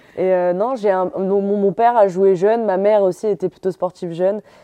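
A woman's dark, mellow voice carries fairly even intonation. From northern France, Calais. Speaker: professional footballer. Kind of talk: interview.

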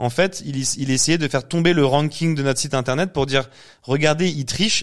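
The intonation stays fairly even in this very clean recording with a silent background. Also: man. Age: 30s. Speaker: agency founder and CEO. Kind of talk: casual interview.

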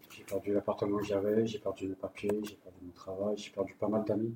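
Very fast speech from a man, monotone and flat in intonation, over noticeable background noise. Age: 30s. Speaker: homeless person sharing his story. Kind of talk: personal testimony.

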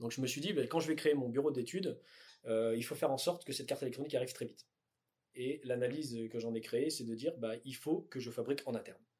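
Very fast speech comes from a man at a medium pitch. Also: ordinary pitch variation. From southern France (Tarn), raised in northern France. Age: 30s. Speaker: electronics company founder. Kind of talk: interview. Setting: company offices. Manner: hesitant, many fillers.

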